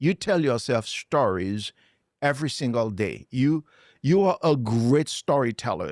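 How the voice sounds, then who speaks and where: Speaking with a Haitian accent at a fairly slow pace, a man has an animated tone, a medium pitch, and very even loudness. The recording is very clean with a silent background, and the sound is dry and close with no echo. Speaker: motivational speaker. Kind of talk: interview.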